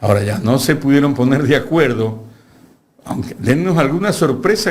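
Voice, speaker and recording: A man with a fairly high pitch and a somewhat breathy voice speaks at a moderate pace with lively intonation, and room echo is audible. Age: 70s. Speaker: lawyer and university lecturer. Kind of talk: political interview. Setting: studio.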